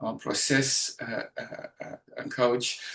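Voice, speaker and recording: A medium-pitched man with a Dutch accent. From Netherlands. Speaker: educational trainer and mind map coach. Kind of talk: webinar presentation. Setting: online webinar. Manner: halting, many fillers.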